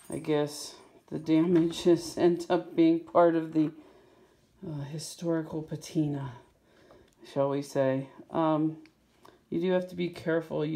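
Delivery is fairly slow, broken by long, frequent pauses. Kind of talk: casual vlog chat. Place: home room. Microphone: phone near.

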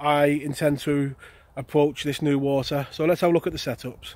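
A man at a moderate pace in a dry sound with no echo. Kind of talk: tutorial. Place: waterside. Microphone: phone near.

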